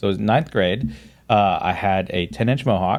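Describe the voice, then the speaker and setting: Over background music, a man with an American accent speaks at a moderate pace and a fairly low pitch, varying it in an ordinary way. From Florida. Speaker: pastor. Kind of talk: casual chat.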